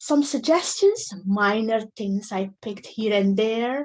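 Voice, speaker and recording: A woman talks at a very slow pace with a non-native accent. Her pitch sits in the medium range. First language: not English. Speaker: club member acting as grammarian. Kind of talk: meeting report.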